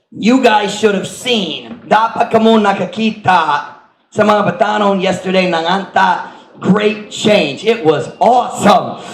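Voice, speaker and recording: There's audible room echo as a man speaks with a high pitch. He goes at a fairly slow pace with ordinary pitch variation. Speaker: pastor. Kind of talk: sermon.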